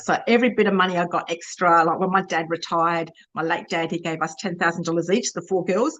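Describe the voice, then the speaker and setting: An Australian accent from a woman with a fairly low pitch, very fast pace and fairly even intonation. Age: 60s. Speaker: direct sales manager. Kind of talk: webinar presentation. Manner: casual, chatty.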